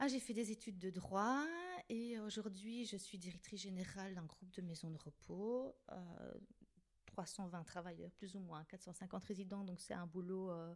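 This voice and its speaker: Her pitch medium and varying in an ordinary way, a woman speaks at a moderate speed. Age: 50s. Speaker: director of care homes, podcast guest. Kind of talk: casual chat. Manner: hesitant, many fillers.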